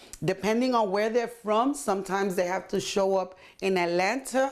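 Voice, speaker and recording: In a very clean recording with a silent background, a woman speaks at a medium pitch. She has a Puerto Rican accent and lively intonation. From Puerto Rico. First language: Spanish. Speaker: community organizer and translator. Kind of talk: interview.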